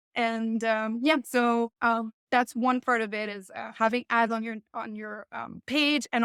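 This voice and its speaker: Recorded very cleanly with a silent background and a dry, close sound with no echo, a woman with a French Canadian accent speaks at a fairly slow pace and fairly high pitch. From Quebec. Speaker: home baker and business owner. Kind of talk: podcast interview.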